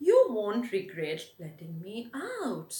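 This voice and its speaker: A put-on character voice sits at a fairly high pitch. It moves at a very slow pace. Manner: coaxing, sweet.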